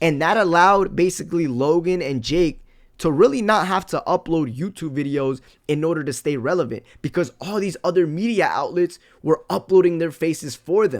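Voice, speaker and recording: A man speaks at a high pitch with ordinary pitch variation and a moderate pace. The recording is very clean, with a silent background. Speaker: livestreamer reacting to drama. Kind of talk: casual live stream chat. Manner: halting, with stutters and long pauses.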